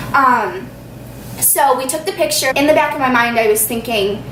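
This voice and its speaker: A woman speaks in an animated tone, with audible room echo and noticeable background noise. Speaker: YouTuber. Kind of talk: storytime. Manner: fast.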